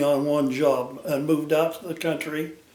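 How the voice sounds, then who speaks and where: A man with an American accent speaks at a fairly slow pace amid audible room echo and noticeable background noise. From Utah, Salt Lake City. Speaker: retired brick mason. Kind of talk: family storytelling interview.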